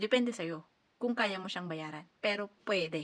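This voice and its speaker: Lively intonation at a moderate pace, in a plain, everyday voice. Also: woman. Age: 30s. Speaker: overseas worker vlogger. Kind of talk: casual advice vlog.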